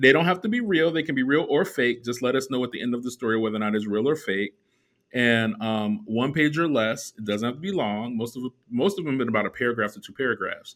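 The speech races along at a very fast pace with lively intonation. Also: man, medium pitch for a man. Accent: American. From Chicago. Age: 40s. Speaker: podcast host. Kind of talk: casual chat.

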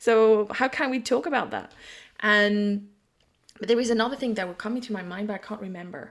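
A woman speaks at a fairly high pitch with a French accent. The recording is very clean, with a silent background. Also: ordinary pitch variation, fairly quick pace, big swings in loudness. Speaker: psychic and intuitive business mentor. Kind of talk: casual chat.

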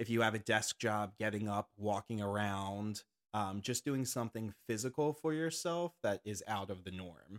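With an unremarkable speaking voice, a man speaks at a fairly low pitch and moderate pace with ordinary pitch variation and hardly any pauses, in a very clean recording with a silent background and a dry, close sound with no echo. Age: 30s. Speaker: nurse and fitness instructor. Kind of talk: casual chat.

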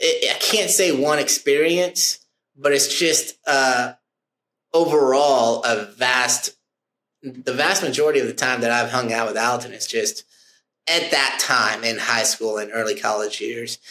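Speaking at a fairly slow pace with long, frequent pauses, a man uses a bright, sharp tone at medium pitch with ordinary pitch variation. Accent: American. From Oklahoma. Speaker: insurance producer. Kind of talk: casual interview. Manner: loud; animated.

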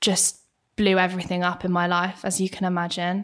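A woman speaks with a southern English accent at medium pitch. The recording is very clean, with a silent background. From Bracknell, southern England. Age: 20s. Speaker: actress. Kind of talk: casual chat. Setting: studio.

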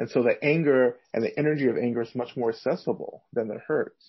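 A man talks at a moderate pace in a normal speaking voice, with a medium pitch and ordinary pitch variation. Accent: American. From US South. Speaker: Buddhist teacher and activist. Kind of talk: interview.

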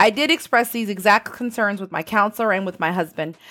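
Heard in a very clean recording with a silent background, the voice has a bright, sharp tone, ordinary pitch variation and a fairly quick pace. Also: woman. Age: 40s. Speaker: podcast host. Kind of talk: motivational monologue.

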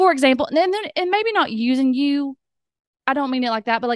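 Speaking at a fairly quick pace with a Southern US accent, a woman comes through dry and close with no echo against a quiet background. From US South. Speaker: podcast host. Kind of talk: casual interview chat. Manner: excitable.

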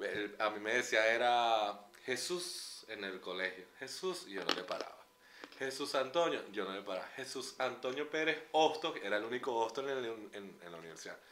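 A man's intonation is lively while noticeable background noise runs underneath. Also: medium pitch for a man, moderate pace. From Venezuela, San Cristóbal (Andes). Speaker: podcast co-host, publicist. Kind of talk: casual chat. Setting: outdoors at a concert.

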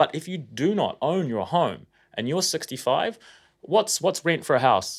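A man with a New Zealand accent speaks in a fairly high pitch on a very clean recording with a silent background. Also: lively intonation. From New Zealand, Auckland. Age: 30s. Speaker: financial advisor and company CEO. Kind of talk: casual interview.

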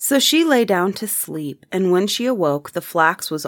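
A natural reading voice carries the clip. Nothing else is described.

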